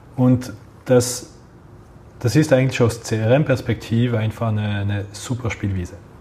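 Slow, breathy male speech at a medium pitch, fairly slow overall, with a dark, mellow tone, fairly even intonation, and long, frequent pauses. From Geneva, French-speaking Switzerland. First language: French (speaking German). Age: 30s. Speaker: head of a retail loyalty program. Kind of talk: interview.

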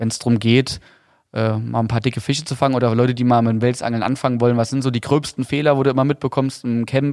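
This very clean recording, with a silent background, captures a man at a medium pitch with a slight Saarland accent. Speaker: podcast host and fishing tackle company owner. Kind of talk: casual chat.

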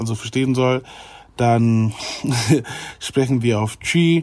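A medium-pitched male voice talks, its intonation staying fairly even. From Germany (Ghanaian family). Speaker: YouTuber. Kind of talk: casual chat.

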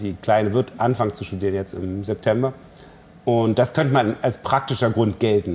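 This man's voice sits at a medium pitch and is somewhat breathy. He speaks at a moderate pace with ordinary pitch variation. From East Germany. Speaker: cellist and festival director. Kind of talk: interview.

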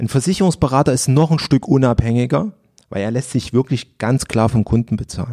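A man with a dark, mellow tone speaks at a medium pitch and a fairly quick pace, with lively intonation and a dry, close sound with no echo. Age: 30s. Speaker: financial advisor. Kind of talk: interview.

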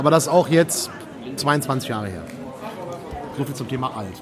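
A man speaks with very wide pitch swings, his voice carrying an audible room echo over crowd noise in the background. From Düsseldorf area, Germany. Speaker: games journalist and podcast host. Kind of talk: casual chat. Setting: recorded at a press event.

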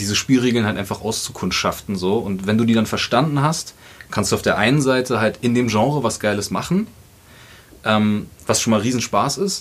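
This man has a plain, everyday voice at medium pitch. He talks at a fairly quick pace with ordinary pitch variation. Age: 30s. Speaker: musician and producer. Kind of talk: casual chat.

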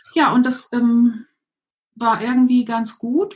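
This is a woman speaking. Her pitch is high. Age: 50s. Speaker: coach, former pastor. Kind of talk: interview.

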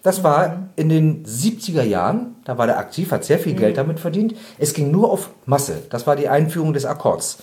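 A man with a fairly high pitch and a dark, mellow tone speaks with lively intonation and vocal fry. His pace is moderate, with hardly any pauses. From Bremen, northern Germany. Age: 50s. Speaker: animal rights activist, trained butcher. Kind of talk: interview.

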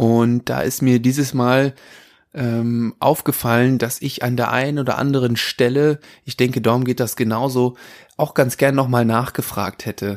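The recording is very clean, with a silent background. The speech is fairly slow, in a monotone, flat intonation. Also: man, medium pitch for a man. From Würzburg, Franconia. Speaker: podcast host. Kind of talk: casual interview podcast. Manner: frequent filler hesitations.

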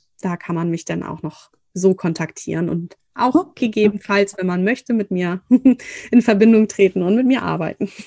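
Speaking at a moderate pace, a woman has a medium-pitched, dark, mellow tone with ordinary pitch variation in a dry, close sound with no echo. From northern Germany. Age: 30s. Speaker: fertility coach. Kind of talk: interview.

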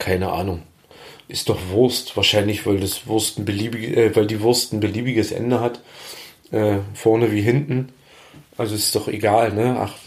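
Somewhat breathy, a man speaks at a moderate pace and medium pitch with fairly even intonation. He leaves long, frequent pauses. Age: 40s. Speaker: cooking podcaster. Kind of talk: casual cooking monologue. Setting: home kitchen.

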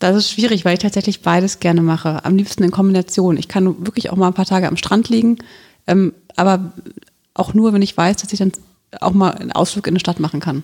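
Here a woman talks at a very fast pace. Her intonation stays fairly even. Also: medium pitch for a woman. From Germany, Hesse (Wiesbaden). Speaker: local politician. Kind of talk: podcast interview.

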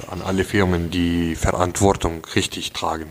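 A man's very deep, low pitch in an Arabic accent. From Syria. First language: Arabic (speaking German). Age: 20s. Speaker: engineering student, refugee. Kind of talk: casual interview. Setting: at the host's home.

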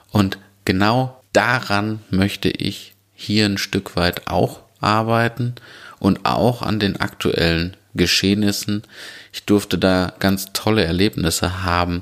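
Pitch variation is ordinary. The delivery is very slow. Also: man, fairly low pitch for a man. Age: 30s. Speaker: podcast host and restaurant owner. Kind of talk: solo podcast monologue.

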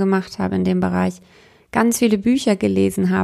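A woman talks at a moderate speed in a very clean recording with a silent background. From Bavaria, Munich. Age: 30s. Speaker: spiritual coach and podcast host. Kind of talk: personal monologue.

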